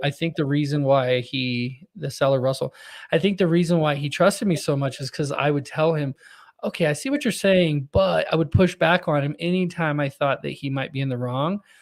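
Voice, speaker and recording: A normal speaking voice with an American accent, ordinary pitch variation and a moderate pace, on a very clean recording with a silent background. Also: man, fairly high pitch for a man. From Texas. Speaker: podcast host. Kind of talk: casual interview conversation.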